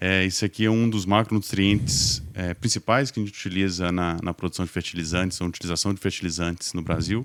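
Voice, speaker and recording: A man with a Minas Gerais accent and a very deep, low pitch talks at a fairly quick pace with hardly any pauses and ordinary pitch variation, on a very clean recording with a silent background. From Minas Gerais, Brazil. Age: 40s. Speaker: logistics executive. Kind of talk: podcast interview. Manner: hesitant, many fillers.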